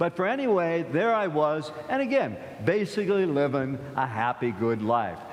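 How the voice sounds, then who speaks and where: Audible room echo surrounds a man speaking with an American accent. His pace is fairly slow and his intonation lively. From US Midwest, Akron, Ohio. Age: 70s. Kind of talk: sermon. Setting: church. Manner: conversational, halting with repetitions.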